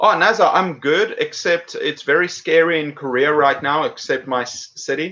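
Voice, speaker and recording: Bright and sharp in tone, this voice has lively intonation and an American accent at a moderate pace. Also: man. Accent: South African with British and some American. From South Africa. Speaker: English teacher and YouTuber. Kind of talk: live stream chat. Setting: home live stream. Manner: casual, halting with fillers.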